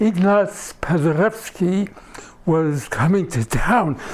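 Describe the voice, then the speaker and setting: Over noticeable background noise, a man with a high pitch speaks very slowly and with lively intonation. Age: 80s+. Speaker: storyteller and cantor. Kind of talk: storytelling performance.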